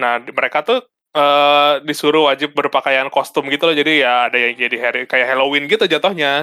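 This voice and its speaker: Intonation holds fairly even. Words come out at a very fast pace. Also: man. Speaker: podcast co-host. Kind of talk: casual chat.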